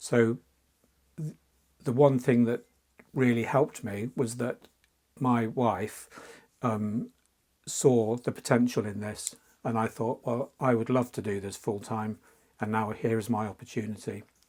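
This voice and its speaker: With an English accent, a man of medium pitch speaks at a fairly slow pace. His intonation is fairly even, with long, frequent pauses. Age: 60s. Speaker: fantasy artist. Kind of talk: interview. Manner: halting.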